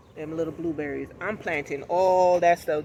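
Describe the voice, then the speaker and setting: A loud man with a high voice. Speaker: lifestyle vlogger. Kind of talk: casual vlog talk.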